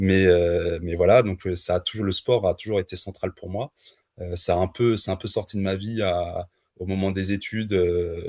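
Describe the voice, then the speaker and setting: Monotone and flat, a man's very deep, low voice moves at a moderate pace, captured with a dry, close sound and no echo. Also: quiet background. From France (Le Mans). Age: 30s. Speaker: trail runner. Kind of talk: podcast interview. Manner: hesitant, many fillers.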